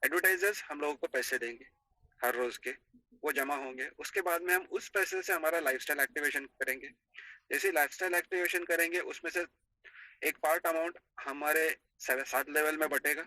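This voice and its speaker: A man's fairly high, bright, sharp voice with a non-native accent, ordinary pitch variation and a moderate pace, in a dry, close sound with no echo. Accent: non-native Hindi. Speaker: network marketing admin. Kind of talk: business presentation.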